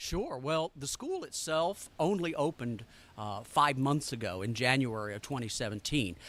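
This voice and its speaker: A man at medium pitch in a Southern accent, with lively intonation and a moderate pace. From US South, Arkansas. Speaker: culinary school director. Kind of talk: interview.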